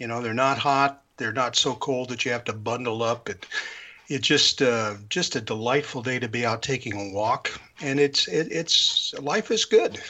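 A man talks at medium pitch and a moderate pace. His pitch varies in an ordinary way. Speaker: radio DJ. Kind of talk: casual chat.

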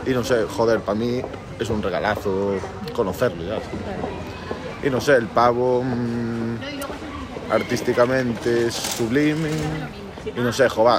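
A man speaks at a very slow pace and medium pitch, with ordinary pitch variation. Audible room echo and noticeable background noise fill the recording. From Galicia, Santiago de Compostela. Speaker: musician. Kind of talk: interview.

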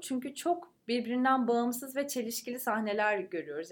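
The background is silent and the recording very clean. Here a woman talks. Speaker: podcast co-host. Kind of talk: casual chat. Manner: animated, vocal.

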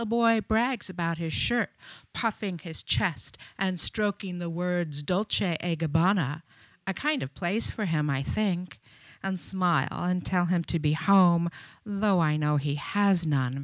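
A woman with a fairly low pitch speaks at a fairly slow pace with ordinary pitch variation, on a very clean recording with a silent background. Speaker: featured poet. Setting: live open mic in a bar with audience, microphone. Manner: animated and warm in chatty intros, slow and deliberate when reading.

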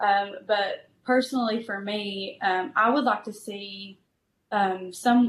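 In an Appalachian accent, a woman speaks at a medium pitch with fairly even intonation. Her voice is somewhat breathy. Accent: Appalachian Southern American. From eastern Kentucky, US. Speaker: pastor. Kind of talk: interview.

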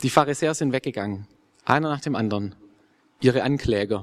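This is a man speaking. His pace is fairly quick. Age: 20s. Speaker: theology student. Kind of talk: interview; sermon.

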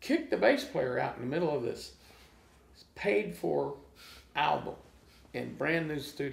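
Animated in tone, a man speaks at a fairly slow pace with long, frequent pauses. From small-town Oklahoma. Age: 60s. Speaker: blues guitarist. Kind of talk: casual interview chat. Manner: animated storytelling.

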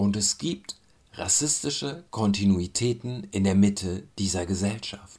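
An ordinary speaking voice with ordinary pitch variation moves at a fairly slow pace on a very clean recording with a silent background. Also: man, fairly low pitch for a man. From Germany. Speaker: commentator. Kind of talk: spoken commentary.

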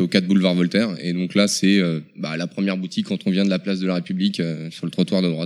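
A man speaks in a very deep, low pitch. His delivery is monotone and flat, at a fairly quick pace. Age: 30s. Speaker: video game shop employee. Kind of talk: interview.

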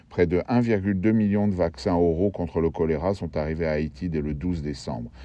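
A man speaks at a very deep, low pitch. His pace is fairly slow, with ordinary pitch variation. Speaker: radio reporter. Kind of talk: formal newsreading, scripted report. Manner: formal; even, factual, dense with figures.

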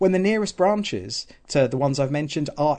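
Speaking fairly quickly in a southern English accent, a man with a fairly high pitch shows ordinary pitch variation. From southern England, Southampton. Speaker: political candidate. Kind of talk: radio interview.

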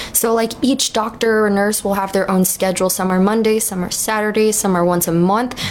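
Here is a woman with a plain, everyday voice. She talks at a fairly quick pace with fairly even intonation. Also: medium pitch for a woman, hardly any pauses. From New York. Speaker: cannabis dispensary worker. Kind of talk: casual interview chat.

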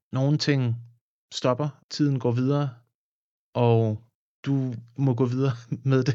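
The man speaks at a fairly slow pace. His intonation is monotone and flat. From Denmark, Funen (near Odense). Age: 30s. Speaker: musician and film composer. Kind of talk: casual interview. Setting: studio. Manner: halting, many repeated words.

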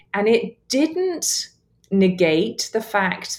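A woman speaks with a southern English accent and a somewhat breathy voice. Her pitch swings very widely. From southern England. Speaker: author and church planter. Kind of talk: casual interview chat.

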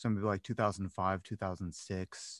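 A man with an American accent is recorded in a dry, close sound with no echo against a quiet background. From Cleveland, Ohio, US. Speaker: handstand and acrobatics coach. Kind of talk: casual interview. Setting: recording from a closet. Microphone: good microphone, sound-treated room.

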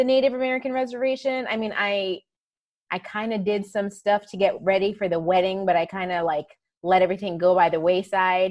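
A woman's ordinary speaking voice, medium in pitch, with lively intonation at a moderate pace. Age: 40s. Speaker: pharmacist and coach. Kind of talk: casual chat. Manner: laughs often.

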